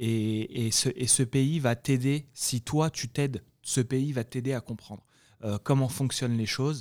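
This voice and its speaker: A man's medium-pitched voice at a fairly slow pace, in a dry, close sound with no echo. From France (Paris, then Guadeloupe from age 14). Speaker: e-commerce entrepreneur. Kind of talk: interview. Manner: halting with frequent repetitions.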